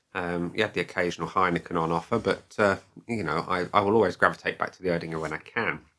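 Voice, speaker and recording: A man with a southeast English accent talks at a very fast pace in a very deep, low voice with a bright, sharp tone. His pitch varies in an ordinary way, on a very clean recording with a silent background. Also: big swings in loudness. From southeast England (Kent, Dartford). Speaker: beer reviewer / video blogger. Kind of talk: casual vlog monologue. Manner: conversational, many fillers.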